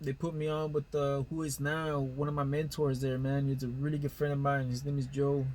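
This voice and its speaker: A man speaks at a fairly quick pace with hardly any pauses, his voice fairly high and somewhat breathy. His intonation stays monotone and flat. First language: Spanish. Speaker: heavy duty diesel technician. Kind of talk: casual storytelling monologue. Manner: casual, filler-heavy with false starts.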